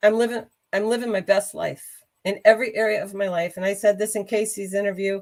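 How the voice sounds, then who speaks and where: With an animated tone, a woman speaks at a fairly high pitch. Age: 60s. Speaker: carnivore diet advocate. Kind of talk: interview.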